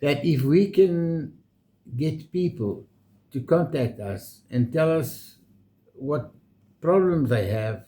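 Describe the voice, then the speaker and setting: Speaking at a very slow pace with long, frequent pauses, a man has a fairly high pitch and lively intonation. His voice is somewhat breathy, with a dark, mellow tone. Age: 70s. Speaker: retired vlogger. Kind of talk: casual chat.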